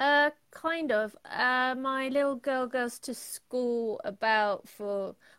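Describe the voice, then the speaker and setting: This woman has a high pitch with ordinary pitch variation and speaks with a London accent. Her pace is very slow, yet she hardly pauses at all. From London, England. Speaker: painter and illustrator. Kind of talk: casual interview chat.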